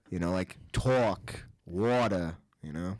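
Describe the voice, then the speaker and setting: Very slow pace and ordinary pitch variation from a man. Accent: American. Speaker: podcast co-host. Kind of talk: casual chat. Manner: animated.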